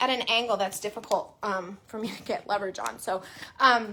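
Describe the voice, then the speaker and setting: At a moderate pace, a woman talks with ordinary pitch variation over noticeable background noise. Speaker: crafting tutorial host. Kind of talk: tutorial. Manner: loud.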